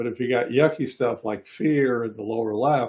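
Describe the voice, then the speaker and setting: A man with a mid-range pitch talks in a plain, everyday voice, his pitch moving in a normal way. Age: 60s. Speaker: psychologist hosting a discussion. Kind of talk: casual chat.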